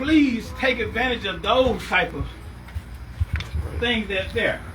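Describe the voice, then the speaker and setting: With audible room echo and noticeable background noise, a man speaks at a very slow pace. His pitch is extremely high. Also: ordinary pitch variation. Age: 60s. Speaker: community speaker. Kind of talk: testimony.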